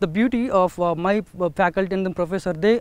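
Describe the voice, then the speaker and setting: The man's voice is high-pitched with fairly even intonation, recorded dry with no echo. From India, Telugu-speaking rural area. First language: Telugu. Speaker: alumnus and startup founder. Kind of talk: testimonial. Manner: hesitant, many fillers. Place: open country.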